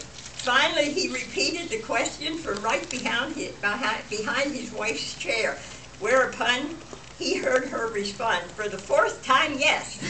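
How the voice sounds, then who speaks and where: Amid noticeable background noise, a woman with a high pitch uses a raised, projected voice, speaking fairly slowly with very wide pitch swings. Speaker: birthday guest of honor telling jokes. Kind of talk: joke telling to family. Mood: playful, lighthearted. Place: hall. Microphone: camera far.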